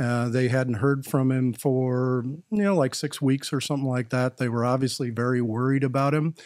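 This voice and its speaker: A plain, everyday voice moves at a moderate pace with fairly even intonation and hardly any pauses. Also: man, medium pitch for a man. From Wisconsin, US Midwest. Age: 60s. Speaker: HR executive. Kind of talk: casual interview.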